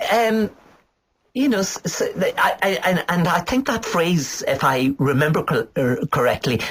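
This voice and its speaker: At a fairly slow pace, a high-pitched man with an Irish accent speaks with very wide pitch swings. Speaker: poet. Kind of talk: interview. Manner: halting, hesitant.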